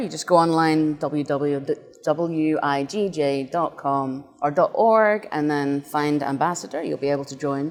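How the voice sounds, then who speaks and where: Her voice pitched very deep and low, a woman talks at an unhurried yet unremarkable speed. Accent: Scottish. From Scotland, northeast (Doric-speaking area). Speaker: games designer and nonprofit volunteer. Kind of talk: interview.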